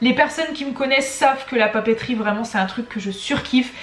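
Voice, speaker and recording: A woman's high-pitched voice at a fairly quick pace with ordinary pitch variation and noticeable background noise. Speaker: YouTuber, teacher and stationery shop owner. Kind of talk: casual vlog announcement. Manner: animated.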